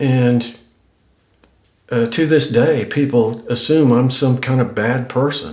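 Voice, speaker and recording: Speech comes at a very slow pace with long, frequent pauses, in an American accent. Loudness stays very even, intonation is fairly even, and the room echo is audible. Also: man, medium pitch for a man. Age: 60s. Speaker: YouTuber. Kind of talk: casual vlog talk to camera. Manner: halting, many repeats and fillers.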